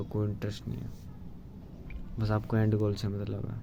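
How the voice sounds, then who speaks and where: A man speaks at a fairly low pitch. His intonation stays monotone and flat. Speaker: vlogger. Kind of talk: casual monologue. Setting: solo video to camera. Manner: halting.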